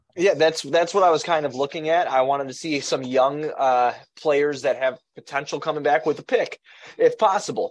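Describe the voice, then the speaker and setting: A man with an American accent speaks at a moderate pace in a fairly high pitch with ordinary variation, against a quiet background. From Chicago area, Illinois. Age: 30s. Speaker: sports podcaster. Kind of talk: casual chat. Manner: animated.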